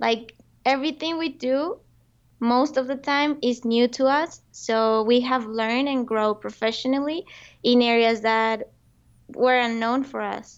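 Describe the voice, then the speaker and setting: Speaking with a Spanish accent, a woman has a high pitch, fairly even intonation and a very slow pace. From Colombia. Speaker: entrepreneur. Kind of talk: interview.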